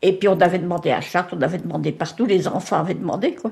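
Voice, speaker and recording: This woman's voice is somewhat breathy. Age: 80s+. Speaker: nursing home resident. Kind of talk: casual interview. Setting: nursing home.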